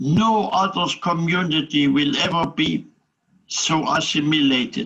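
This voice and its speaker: With a German accent, a man talks at a fairly slow pace in a fairly high pitch, his tone bright and sharp and his pitch variation ordinary. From Germany. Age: 80s+. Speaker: Holocaust survivor. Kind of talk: interview answer. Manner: positive, upbeat.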